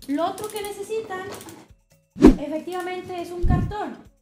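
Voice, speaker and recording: A woman speaks at a moderate pace. Clear music plays in the background. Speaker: streamer. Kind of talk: casual stream chat and tutorial. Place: home room.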